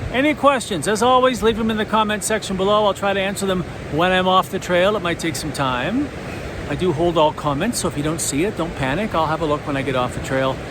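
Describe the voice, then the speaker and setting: Talking at a very fast pace over noticeable background noise, a man uses a high pitch and lively intonation. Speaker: hiking vlogger. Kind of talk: casual vlog talk to camera while hiking. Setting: outdoors on a trail.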